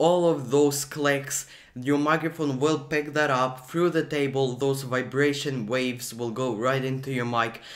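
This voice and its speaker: There is a quiet background. A man does the talking. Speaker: video creator. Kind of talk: tutorial. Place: home room. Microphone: studio mic.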